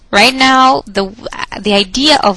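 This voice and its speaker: A woman speaks at a fairly slow pace in a medium-pitched voice. Noticeable background noise is present. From Brazil. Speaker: professor. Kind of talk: lecture. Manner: hesitant with fillers and repetitions.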